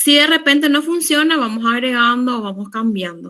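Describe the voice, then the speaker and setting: A woman's high-pitched voice with ordinary pitch variation at a fairly slow pace, on a very clean recording with a silent background. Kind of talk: lecture.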